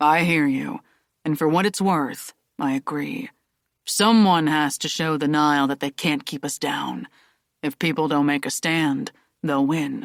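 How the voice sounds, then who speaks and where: A put-on character voice at a middle pitch is delivered at a moderate pace in a very clean recording with a silent background. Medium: read story. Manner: relaxed, wry.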